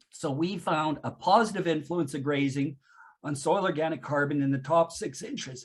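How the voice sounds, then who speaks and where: In a put-on character voice, a man sounds hoarse, with a fairly high pitch, ordinary pitch variation and a moderate pace. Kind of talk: academic, explanatory.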